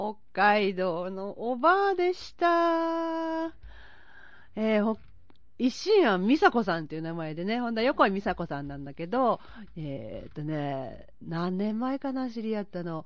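In an Osaka accent, a woman with a fairly high pitch speaks at a fairly slow pace, her pitch swinging very widely and her loudness rising and falling in big swings. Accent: Kansai (Osaka) Japanese. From Osaka, Tsurumi ward. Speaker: podcast host. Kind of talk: casual chat. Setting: phone call.

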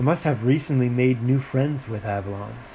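Ordinary pitch variation runs through a natural reading voice here.

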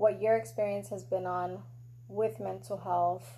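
With a slight New York accent, a woman talks at a fairly slow pace. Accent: New York (Bronx) accent, slight. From the Bronx, New York. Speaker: podcast host. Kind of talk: casual conversation.

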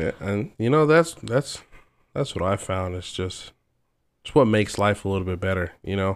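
A man with a plain, everyday voice, fairly low pitch, lively intonation and a moderate pace, in a very clean recording with a silent background. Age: young. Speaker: machinist. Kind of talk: casual chat.

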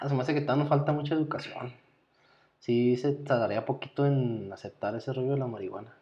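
This man has an ordinary speaking voice at a medium pitch. His intonation stays fairly even as he talks at a fairly quick pace. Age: 30s. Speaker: podcast co-host, nurse or doctor. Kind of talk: casual chat.

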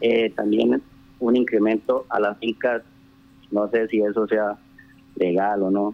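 With very even loudness and monotone, flat intonation, a man with a fairly low voice speaks at a very slow pace, leaving long, frequent pauses. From Colombia, rural Casanare (Trinidad). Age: 30s. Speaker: town councillor. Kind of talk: radio interview. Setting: phone call. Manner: halting.

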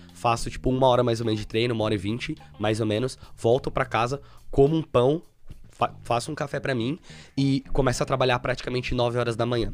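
Over music in the background, a man speaks at a very fast pace with fairly even intonation. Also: medium pitch for a man. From Brazil, São Paulo state (Suzano). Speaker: web programmer. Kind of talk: casual interview chat.

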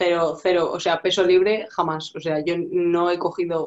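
This is an ordinary speaking voice from a woman. Her fairly low pitch moves in fairly even intonation. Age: 20s. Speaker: fitness client. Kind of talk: casual chat.

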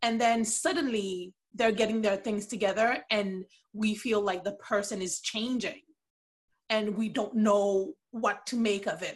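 A woman speaks at a fairly slow pace in a somewhat breathy voice. Her pitch is fairly high and varies in an ordinary way. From Haiti, Port-au-Prince. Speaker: podcast guest, TV fan. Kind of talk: casual chat.

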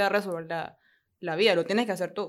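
On a very clean recording with a silent background, a woman speaks in an ordinary speaking voice, at a medium pitch with fairly even intonation. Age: 20s. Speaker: podcast co-host. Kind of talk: casual chat.

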